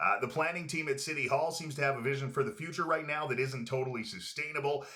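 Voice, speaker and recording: This man speaks at a very fast pace with a medium pitch and a Canadian accent. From Prince George, British Columbia, Canada. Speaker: podcast host, former radio host. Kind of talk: casual interview chat. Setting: studio with camera. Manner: polished radio delivery.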